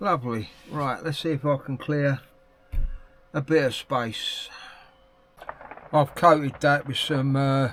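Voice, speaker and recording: A man with an English accent at a fairly high pitch, speaking very slowly with long, frequent pauses amid noticeable background noise. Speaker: hobby painter YouTuber. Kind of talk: casual unboxing vlog. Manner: quiet at times.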